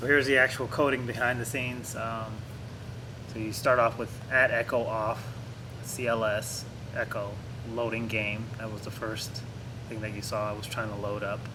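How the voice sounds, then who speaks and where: A medium-pitched man speaks at a moderate pace with monotone, flat intonation and long, frequent pauses, over noticeable background noise and audible room echo. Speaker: programming tutorial youtuber. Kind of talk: tutorial. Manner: casual, many filler words.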